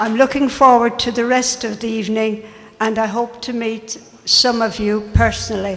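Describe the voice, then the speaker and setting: Over noticeable background noise, a woman with an Irish accent speaks at a moderate pace in a fairly high, monotone, flat voice. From Ireland. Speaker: deputy mayor. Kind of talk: formal speech at event.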